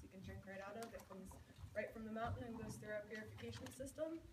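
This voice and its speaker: A woman's fairly high voice over noticeable background noise. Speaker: retreat center operations manager. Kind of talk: welcome announcements. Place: hall. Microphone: camera far.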